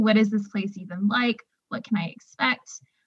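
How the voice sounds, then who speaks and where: A woman with an American accent speaks at a moderate pace and medium pitch. It is a plain, everyday voice. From Texas, Houston suburb. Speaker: newspaper editor and hiker. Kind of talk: casual interview.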